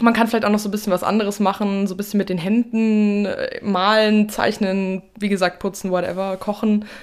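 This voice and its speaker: A woman talks at a fairly quick pace with hardly any pauses. Her medium-pitched voice stays monotone and flat. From Germany, Fulda (eastern Hesse). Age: 20s. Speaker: journalism student and new podcast co-host. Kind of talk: casual chat. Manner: hesitant, many fillers.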